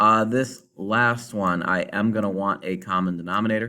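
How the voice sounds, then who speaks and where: Speaking in a flat monotone, a man has a fairly low pitch and a bright, sharp tone. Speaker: math teacher. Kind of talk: tutorial. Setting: recorded video lesson.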